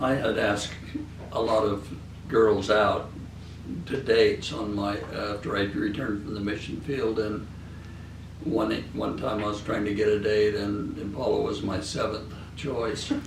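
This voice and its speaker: A man's fairly low, fairly even voice with an American accent, a fairly slow pace and long, frequent pauses, plus audible room echo and noticeable background noise. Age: 70s. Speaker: interviewee, grandfather. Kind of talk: interview. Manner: halting.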